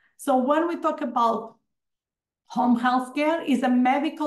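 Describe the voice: At a fairly slow pace, a woman speaks in a fairly high voice with ordinary pitch variation.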